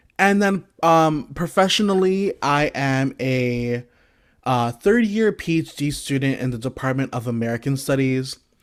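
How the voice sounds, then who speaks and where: Fairly slow delivery from a man with a fairly high pitch, lively intonation and an ordinary speaking voice. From US Northeast, Brooklyn, New York. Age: 20s. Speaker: PhD student and guest lecturer. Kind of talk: lecture. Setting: video call.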